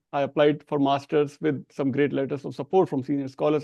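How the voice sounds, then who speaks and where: Speaking at a fairly quick pace with an Indian accent, a man with a fairly high pitch and a dark, mellow tone sounds dry and close with no echo. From India, small Hindi-speaking town. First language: Hindi. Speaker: professor. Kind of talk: interview. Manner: halting, with repetitions.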